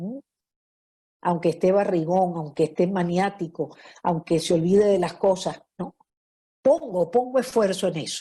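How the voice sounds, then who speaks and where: Somewhat breathy and dark, mellow in tone, a woman speaks at a medium pitch with ordinary variation. Her pace is fairly slow, with long, frequent pauses. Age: 70s. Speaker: lecturer on marriage. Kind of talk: lecture. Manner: conversational, frequent fillers.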